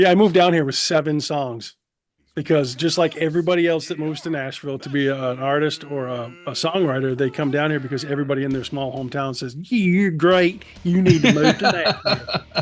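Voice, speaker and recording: Fairly high in pitch and fairly quick, a man speaks in a plain, everyday voice. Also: ordinary pitch variation. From Maine, US. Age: 50s. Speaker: musician, singer-songwriter. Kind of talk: interview. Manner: casual.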